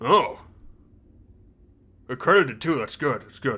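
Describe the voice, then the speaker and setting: A man's put-on character voice, fairly high in pitch, at a moderate pace, in a very clean recording with a silent background. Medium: actual play. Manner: curt, bureaucratic.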